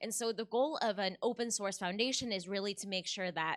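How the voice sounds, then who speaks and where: Using a normal speaking voice, a woman talks at medium pitch with ordinary pitch variation. The recording is dry and close, with no echo. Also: very clean recording, silent background. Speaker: foundation representative. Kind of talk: conference presentation.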